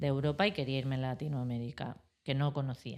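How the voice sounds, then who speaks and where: On a very clean recording with a silent background, a woman talks with fairly even intonation. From Spain, Madrid. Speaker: architect. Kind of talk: interview.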